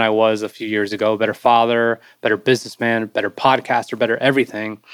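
A man talks in a plain, everyday voice at a medium pitch and fairly quick pace. The very clean recording has a silent background and a dry, close sound with no echo. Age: 40s. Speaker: Marine veteran and branding strategist. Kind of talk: interview conversation.

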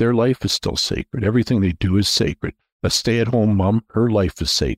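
A man with a Canadian accent speaks in a normal speaking voice at medium pitch and a moderate pace. The sound is dry and close with no echo, and the recording is very clean with a silent background. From Canada, Toronto area. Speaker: investment bank founder. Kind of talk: casual interview, faith testimony.

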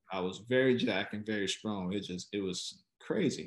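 A man with an American accent and a plain, everyday voice, fairly low in pitch with ordinary pitch variation, at a fairly slow pace against a quiet background. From Chicago, west side. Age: 40s. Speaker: former healthcare executive. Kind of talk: interview.

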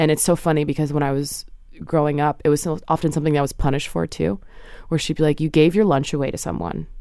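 With an American accent, a woman speaks very fast in a very deep, low pitch, her dark, mellow tone edged with vocal fry and her intonation fairly even, on a very clean recording with a silent background. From New Jersey. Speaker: art curator and writer. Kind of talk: casual interview.

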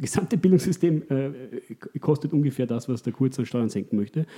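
This man's voice sits at a medium pitch and has a dark, mellow tone. It is somewhat breathy, with ordinary pitch variation. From Austria. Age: 30s. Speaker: economist. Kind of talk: interview. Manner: halting, many repetitions.

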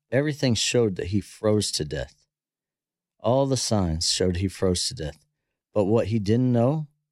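This man has an ordinary speaking voice, fairly low in pitch, with lively intonation and a moderate pace, on a very clean recording with a silent background. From US, south central Pennsylvania. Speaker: former bull rider and horse trainer. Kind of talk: casual podcast interview.

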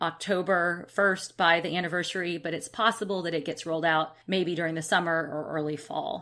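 Bright and sharp in tone, a voice with an American accent moves at a fairly quick pace on a very clean recording with a silent background. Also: woman. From Alabama, US South. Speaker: travel expert, co-presenter. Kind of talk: casual chat. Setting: live virtual seminar recording.

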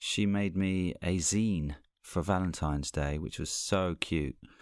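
With a very deep, low voice and lively intonation, a man speaks very slowly in a very clean recording with a silent background. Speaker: comedian and voiceover narrator. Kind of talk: casual chat.

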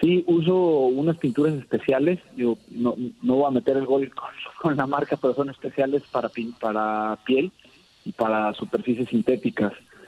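At a medium pitch, a man talks at a moderate pace. His pitch variation is ordinary. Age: 30s. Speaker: sports artist, custom painter. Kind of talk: interview. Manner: halting, many repeated words.

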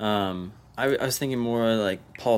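A man speaks at a very slow pace. His pitch sits fairly low, with ordinary variation. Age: 20s. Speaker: soccer podcast co-host. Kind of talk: casual chat.

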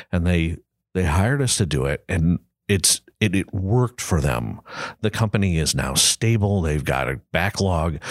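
On a very clean recording with a silent background, a man with a very deep, low voice and vocal fry speaks at a moderate pace with lively intonation and very even loudness, the sound dry and close with no echo. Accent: Midwestern American. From US Midwest, Granite City, Illinois near St. Louis. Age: 60s. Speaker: design agency principal. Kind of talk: casual interview. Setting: studio, in person across the table.

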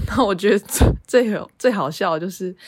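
A woman speaks at a moderate pace with ordinary pitch variation. It is an unremarkable speaking voice. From Taiwan, half Yilan. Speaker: podcast co-host. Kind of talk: casual chat.

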